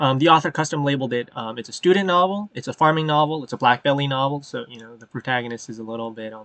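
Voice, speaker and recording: Very fast male speech at a medium pitch with ordinary pitch variation. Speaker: web novel reader and channel host. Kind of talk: casual reading aloud with commentary. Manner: halting, many filler ums.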